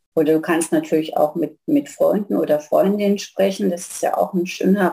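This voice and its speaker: A woman talking at a moderate pace. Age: 60s. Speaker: family therapist. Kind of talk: casual interview.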